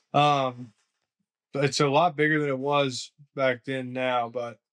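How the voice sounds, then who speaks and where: In a dry, close recording with no echo, a man speaks very slowly at a medium pitch with monotone, flat intonation. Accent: Southern. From US South, Augusta, Georgia. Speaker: lawn care business owner. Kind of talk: podcast interview.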